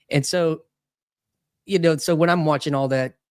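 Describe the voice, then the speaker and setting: A man's voice with fairly even intonation in a dry, close sound with no echo. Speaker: podcast host. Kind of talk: casual conversation. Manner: halting, many fillers.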